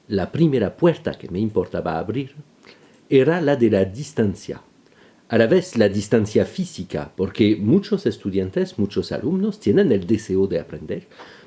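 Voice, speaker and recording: In a very clean recording with a silent background, a man speaks in a dark, mellow tone with very wide pitch swings. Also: medium pitch for a man, fairly slow pace. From France. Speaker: violinist and violin teacher. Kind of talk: scripted narration. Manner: formal.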